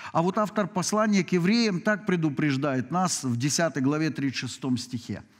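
A man speaks at a very slow pace. His pitch swings very widely against a quiet background. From Ukraine. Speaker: pastor. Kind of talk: sermon. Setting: church. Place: church.

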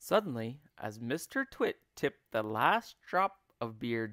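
With the background quiet, a passage is read aloud in a natural voice.

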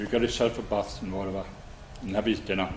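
Someone with a Northumbrian accent speaks at a fairly quick pace against noticeable background noise. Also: man. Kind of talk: reminiscence storytelling.

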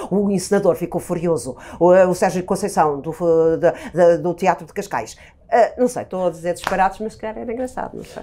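A woman speaks at a moderate pace with a fairly low pitch, a dark, mellow tone, ordinary pitch variation and big swings in loudness. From Portugal, Viseu; Portugal. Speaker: actress. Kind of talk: casual chat. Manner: halting. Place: studio. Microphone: lapel.

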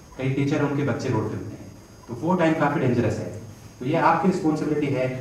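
A man at a fairly quick pace with ordinary pitch variation, with audible room echo and light background noise. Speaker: guest. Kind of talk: lecture to students. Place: hall.

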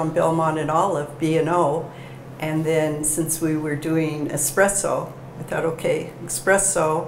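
Speaking at a fairly slow pace, a woman with a very deep, low pitch is heard over light background noise and audible room echo. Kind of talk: interview answer. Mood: warm, smiling. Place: cafe. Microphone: lapel.

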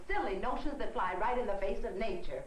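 A woman speaks at a moderate pace with very wide pitch swings. There is light background noise and audible room echo. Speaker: mother. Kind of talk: scripted drama dialogue. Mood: exasperated, scolding. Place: kitchen. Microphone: old recording.

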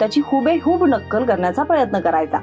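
A woman talks with music in the background. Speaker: news presenter. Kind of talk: news feature narration.

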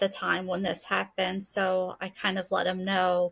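A woman is speaking here. The background is quiet. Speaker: podcast guest. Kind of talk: interview answer. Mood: calm, earnest. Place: home room. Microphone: webcam.

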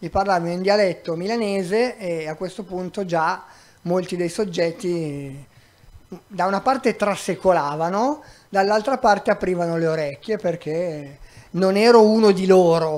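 A man's high-pitched voice, fairly slow, with ordinary pitch variation. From Milan, northern Italy. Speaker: migrant rights activist; guest, volunteer lawyer. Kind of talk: public talk; public talk answer. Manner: halting. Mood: calm, wry. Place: stage. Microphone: handheld.

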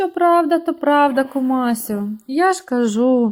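The speaker uses a put-on character voice. The delivery comes at a fairly slow pace. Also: woman. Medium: read story. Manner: eager, wheedling.

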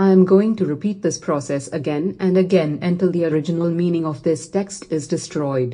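A woman speaks with a fairly low pitch. Her tone is dark and mellow. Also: ordinary pitch variation, moderate pace.

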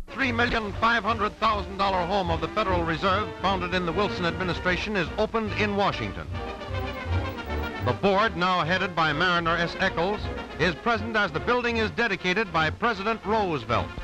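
Clear background music behind a man's high-pitched voice, fairly quick and lively in intonation, the sound dry with no echo. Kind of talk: 1930s newsreel narration. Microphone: old recording.

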